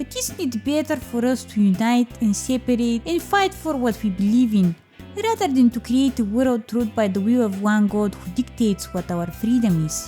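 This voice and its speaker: A woman speaks in a strong Eastern European accent at a moderate pace with hardly any pauses. Music plays in the background. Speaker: gaming YouTuber. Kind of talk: comedic video game commentary narration.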